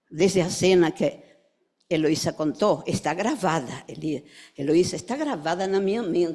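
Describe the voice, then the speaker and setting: On a very clean recording with a silent background, a woman speaks at a fairly slow pace in a fairly low pitch, with ordinary pitch variation and a dark, mellow tone. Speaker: psychoanalyst. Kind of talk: memorial tribute speech.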